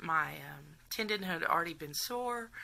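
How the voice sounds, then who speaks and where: On a very clean recording with a silent background, a woman with a Texas accent speaks in a bright, sharp tone. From Texas, around Houston. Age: 40s. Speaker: patient documenting surgery. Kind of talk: casual vlog storytelling. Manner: chatty, hesitant with many fillers.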